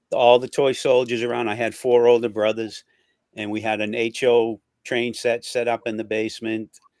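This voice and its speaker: A man of medium pitch speaks at a moderate pace in a monotone, flat intonation, captured dry and close with no echo in a very clean recording with a silent background. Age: 60s. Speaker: show host. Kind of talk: casual chat.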